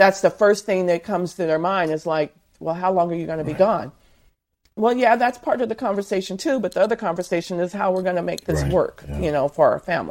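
A woman speaks very fast with an American accent, at a medium pitch with ordinary pitch variation. The recording is very clean, with a silent background. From Southern California. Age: 50s. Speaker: author and truck driver's wife. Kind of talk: interview.

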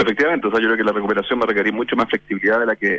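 This man speaks at a medium pitch. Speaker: business association president. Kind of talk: radio interview.

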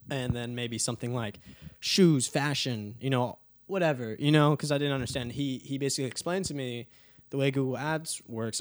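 In a very clean recording with a silent background, a man with a plain, everyday voice and an American accent speaks with fairly even intonation. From Texas (Dallas). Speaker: musician and video creator. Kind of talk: casual chat.

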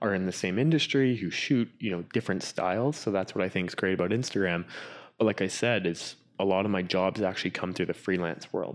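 Against a quiet background, a man with a Canadian accent and a very deep, low pitch talks at a fairly quick pace with ordinary pitch variation. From Canada, Whistler BC. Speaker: drone pilot and cinematographer. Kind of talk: interview.

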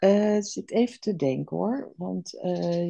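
A woman speaks at a medium pitch in a somewhat breathy voice with a dark, mellow tone. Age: 60s. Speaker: program participant. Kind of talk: testimony.

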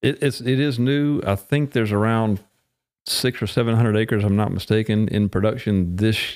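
A man speaks at a fairly quick pace in an ordinary speaking voice, his fairly low pitch held in fairly even intonation. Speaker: plant breeder. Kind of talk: casual chat.

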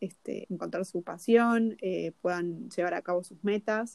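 Recorded with a dry, close sound and no echo, a woman talks at a fairly slow pace with medium pitch and fairly even intonation. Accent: Rioplatense. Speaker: podcast co-host, personal development coach. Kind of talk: casual chat. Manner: halting, many repetitions.

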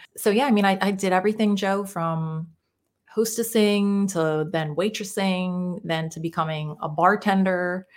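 Over a very clean recording with a silent background, a woman with an American accent speaks at a moderate pace in a medium pitch, her intonation fairly even. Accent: Jersey-Philly. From New Jersey, US. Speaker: mindset coach. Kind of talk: casual interview chat.

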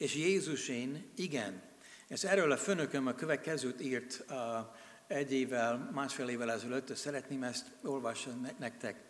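With an American accent, a man speaks at a medium pitch. His pace is fairly slow and his pitch varies in an ordinary way. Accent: American accent in Hungarian. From USA. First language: English (speaking Hungarian). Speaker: missionary. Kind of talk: sermon. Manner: halting.

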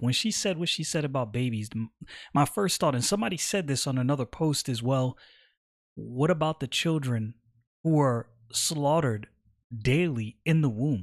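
A man with a plain, everyday voice speaks at a medium pitch and a moderate pace, with ordinary pitch variation. The recording is very clean, with a silent background. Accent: American. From New York, Brooklyn. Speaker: political podcaster, military veteran. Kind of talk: political commentary podcast.

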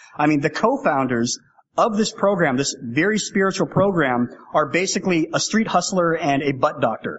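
With lively intonation and very even loudness, a man talks at a high pitch. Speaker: AA speaker. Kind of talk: testimony. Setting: stage with audience. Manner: fast talker.

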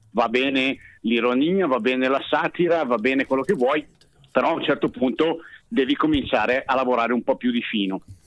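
Delivered in a normal speaking voice, the speech moves at a fairly quick pace with ordinary pitch variation and very even loudness. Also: man, medium pitch for a man. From Bergamo, northern Italy. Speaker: singer and comedian. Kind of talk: casual chat. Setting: phone call.

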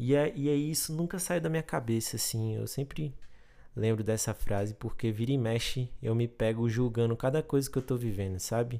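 A man at medium pitch, dark and mellow in tone, with ordinary pitch variation and a moderate pace. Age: 20s. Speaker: podcast host. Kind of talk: casual solo monologue.

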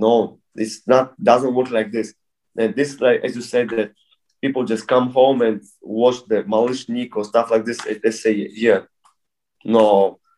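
The speaker has a Bulgarian accent and a dark, mellow tone. Delivery is fairly slow, with monotone, flat intonation. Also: man, medium pitch for a man. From Bulgaria, moved to Russia at 10. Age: 30s. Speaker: breakdancer. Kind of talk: casual interview. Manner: halting.

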